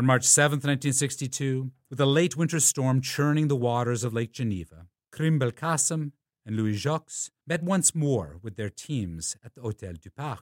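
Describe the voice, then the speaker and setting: An unremarkable speaking voice moves at a moderate pace with lively intonation and big swings in loudness. The recording is very clean with a silent background, dry and close with no echo. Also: man, medium pitch for a man. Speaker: documentary narrator. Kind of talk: scripted history documentary narration. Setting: studio voiceover. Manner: formal, measured, even-paced; authoritative, scholarly, clearly enunciated.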